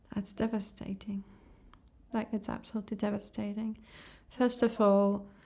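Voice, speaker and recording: With a somewhat breathy, dark, mellow tone, a woman speaks at medium pitch and a moderate pace, her intonation monotone and flat, with long, frequent pauses. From Ukraine. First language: Ukrainian or Russian. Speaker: tattoo artist. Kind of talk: interview. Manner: halting.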